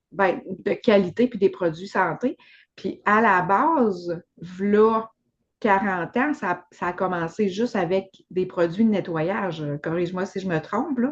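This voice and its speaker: Speaking very slowly, a woman with a Quebec accent uses a medium pitch. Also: ordinary pitch variation. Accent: Québécois French. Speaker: podcast host. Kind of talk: casual chat.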